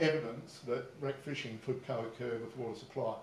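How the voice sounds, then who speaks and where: Speaking fairly quickly with ordinary pitch variation, a man with an Australian accent is heard over light background noise and audible room echo. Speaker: fisheries presenter; presenter. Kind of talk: conference presentation. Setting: stage with audience. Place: hall.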